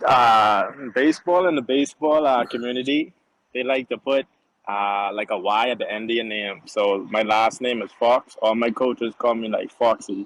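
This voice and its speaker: A man with a Bahamian accent, ordinary pitch variation, and a dry, close sound with no echo. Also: medium pitch for a man, moderate pace. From Bahamas. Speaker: professional baseball player. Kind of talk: casual interview.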